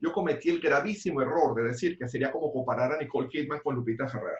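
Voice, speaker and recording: This man has an ordinary speaking voice, pitched fairly high, moving at a fairly quick pace with lively intonation. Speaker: podcast co-host. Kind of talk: casual chat.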